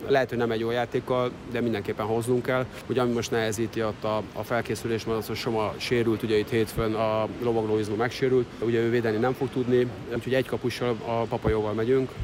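Over noticeable background noise, a man talks very fast at a medium pitch in a monotone, flat delivery. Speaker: water polo national team coach. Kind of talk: interview. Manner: halting.

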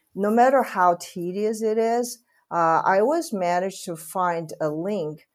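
A very slow voice with a Chinese accent and ordinary pitch variation, on a very clean recording with a silent background. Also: woman. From Taiwan. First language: Mandarin Chinese. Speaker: real estate executive. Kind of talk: interview. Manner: halting, many fillers.

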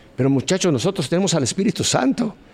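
A man's very fast speech swings very widely in pitch. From Mexico City. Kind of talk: testimony.

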